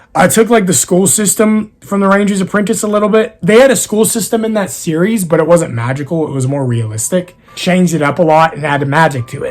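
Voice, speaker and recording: Over music in the background, a man with an American accent speaks at a fairly quick pace and a high pitch, with lively intonation. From East Texas. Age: 20s. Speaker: YouTuber and author. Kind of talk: casual Q&A.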